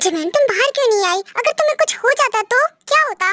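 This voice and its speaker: In a squeaky, put-on character voice, the speaker goes at a fairly quick pace with very even loudness in a dry, close sound with no echo. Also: woman, extremely high pitch for a woman. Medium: read story. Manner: authoritative.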